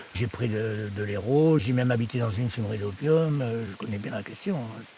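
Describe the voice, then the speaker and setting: A man's voice with very wide pitch swings at a moderate pace, over noticeable background noise. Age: 60s. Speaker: writer living in the forest. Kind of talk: documentary interview testimony. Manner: halting, repeats words.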